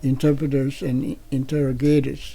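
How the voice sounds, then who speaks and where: A man with a dark, mellow tone is heard on a very clean recording with a silent background. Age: 90s. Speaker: war veteran. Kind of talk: interview. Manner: halting.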